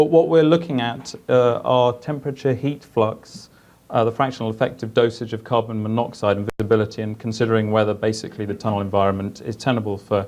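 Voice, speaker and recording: With a strong British accent, a man talks at a very fast pace with hardly any pauses, his medium pitch showing ordinary variation. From UK. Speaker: engineer; conference presenter. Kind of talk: conference presentation. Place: meeting room. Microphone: camera far.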